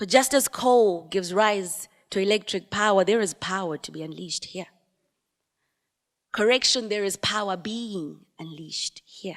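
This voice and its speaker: With a normal speaking voice, a woman talks at a moderate pace, her loudness swinging widely. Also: medium pitch for a woman, ordinary pitch variation. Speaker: spoken word poet. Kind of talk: spoken word poetry performance.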